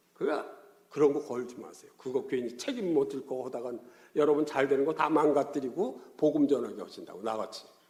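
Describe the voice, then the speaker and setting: Over audible room echo, a man with a fairly high pitch talks at a fairly quick pace, his loudness swinging widely. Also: ordinary pitch variation. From Korea, Gyeongsang region. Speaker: pastor. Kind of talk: sermon. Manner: animated, colloquial storytelling.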